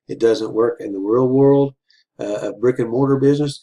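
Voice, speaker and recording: Here a man has an unremarkable speaking voice, fairly even intonation and a moderate pace. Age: 60s. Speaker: business coach. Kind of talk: motivational talk. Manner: casual, filler-heavy.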